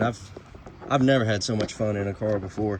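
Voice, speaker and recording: Speaking with an Alabama accent and fairly even intonation, this voice comes through over noticeable background noise. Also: man. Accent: Southern US (Alabama). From Alabama (US South). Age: 20s. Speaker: auto mechanic and car vlogger. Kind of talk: casual vlog chat. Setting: in a car. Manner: hesitant, many fillers.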